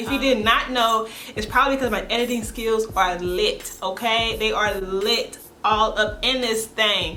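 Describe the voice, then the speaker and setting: Music plays in the background as a woman with a fairly high pitch speaks at a moderate pace and fairly even intonation. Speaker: vlogger. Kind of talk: casual talk to camera. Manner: sassy, humorous.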